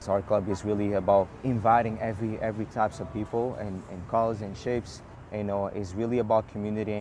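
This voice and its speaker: A man with a non-native accent talks at a very fast pace in a dark, mellow tone, fairly low in pitch and monotone in intonation. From New York. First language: not English. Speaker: run club founder. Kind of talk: interview. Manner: repeats words, halting.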